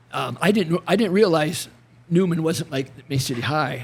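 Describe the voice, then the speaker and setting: A man speaks at a moderate pace with an American accent and a fairly high pitch. His voice is somewhat breathy, with ordinary pitch variation. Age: 70s. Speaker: retired wrestling coach. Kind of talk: casual chat. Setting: podcast in a garage.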